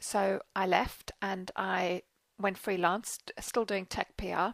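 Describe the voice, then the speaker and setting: A woman talks with a South African accent. The sound is dry and close, with no echo. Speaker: PR business owner. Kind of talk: personal story monologue. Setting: Facebook video.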